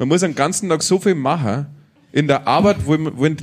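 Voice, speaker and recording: A man with a slight Franconian accent. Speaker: podcast host, music scene advisor. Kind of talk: live interview with audience. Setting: stage with audience.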